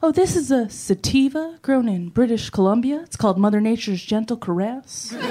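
A fairly high-pitched woman's voice at a fairly quick pace, with lively intonation, hardly any pauses and noticeable background noise. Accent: American. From New York. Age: 20s. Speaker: stand-up comedian. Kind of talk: stand-up.

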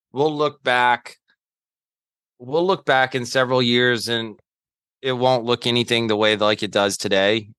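At a fairly slow pace, a man with an American accent speaks with ordinary pitch variation and long, frequent pauses. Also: medium pitch for a man. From US South, Charlotte, North Carolina. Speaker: NFT podcaster and former sales executive. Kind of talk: casual chat.

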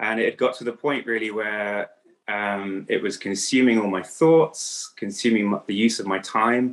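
A man talks at a moderate pace with an English accent. His pitch is fairly low and his intonation fairly even. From England. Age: 30s. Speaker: coach for men in recovery. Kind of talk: interview.

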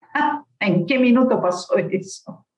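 Speaking with an Argentine accent, a woman makes very wide pitch swings. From Argentina. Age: 50s. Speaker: marketing professional. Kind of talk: interview storytelling. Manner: animated.

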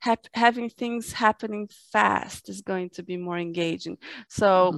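A woman with a Portuguese accent at a moderate pace, in a very clean recording with a silent background and a dry, close sound with no echo. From Brazil. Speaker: fantasy and sci-fi author. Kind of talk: interview. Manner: halting.

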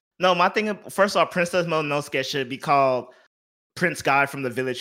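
A man with a bright, sharp tone talks at a fairly quick pace on a very clean recording with a silent background. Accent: American. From Houston, Texas. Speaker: games journalist. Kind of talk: casual chat.

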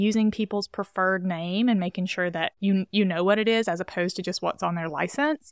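A woman with a plain, everyday voice speaks with an American accent at medium pitch, fairly quick pace and ordinary pitch variation. The recording is very clean with a silent background and a dry, close sound with no echo. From US South, rural Alabama. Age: 20s. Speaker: physician assistant. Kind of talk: casual interview. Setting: studio.

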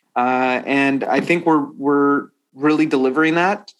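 The speaker is a man at medium pitch. His intonation is fairly even. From US, Washington. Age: 30s. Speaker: tech company CEO. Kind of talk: interview. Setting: remote call.

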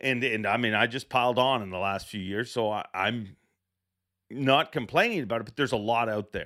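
In a very clean recording with a silent background, a man speaks at a moderate pace in a plain, everyday voice. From Canada. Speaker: fishing podcast host and tournament emcee. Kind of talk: casual interview podcast.

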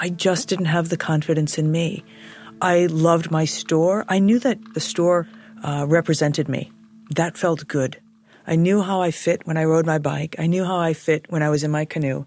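At a moderate pace, a woman speaks in a normal speaking voice. Her pitch is fairly low and her intonation fairly even. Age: 50s. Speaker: former store owner. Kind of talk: casual conversation.

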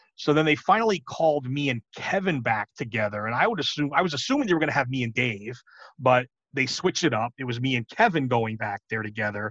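Talking at a very fast pace, a man with a New York accent is heard in a dry, close sound with no echo. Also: medium pitch for a man, lively intonation. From New York City. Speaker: pro wrestling commentator. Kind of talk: casual interview.

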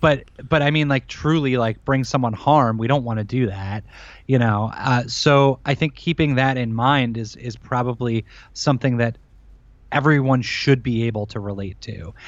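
A man talks at a moderate pace. His voice is medium in pitch with ordinary pitch variation. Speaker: podcast host with heart condition. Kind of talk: casual interview chat. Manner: halting, many repeated words.

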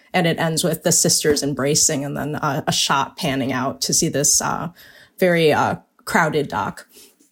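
On a very clean recording with a silent background, a woman with vocal fry and a very deep, low pitch speaks at a moderate pace with ordinary pitch variation. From US, Chinese-American family. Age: 40s. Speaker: novelist. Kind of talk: casual chat.

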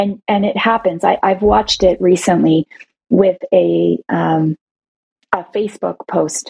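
In a Canadian accent, a woman speaks at a medium pitch with vocal fry, and the sound is dry and close with no echo. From Toronto, Canada. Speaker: CEO of a women's advocacy organization. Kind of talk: interview.

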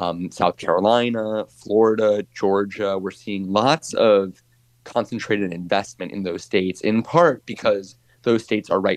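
In a dry, close recording with no echo, a man with a plain, everyday voice speaks at a fairly low pitch and a moderate pace. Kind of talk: interview.

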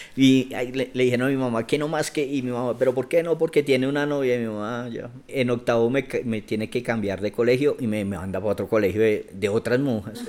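The speech comes at a very fast pace with hardly any pauses. Pitch varies in an ordinary way. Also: man, medium pitch for a man. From Bogotá, Colombia. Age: 40s. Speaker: activist and cultural manager. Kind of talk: interview conversation.

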